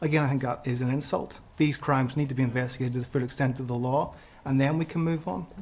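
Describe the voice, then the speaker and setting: With a Northern Irish accent, a man talks very fast at a medium pitch, his voice somewhat breathy and his intonation fairly even. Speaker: audience member. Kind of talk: televised panel debate. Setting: studio with audience.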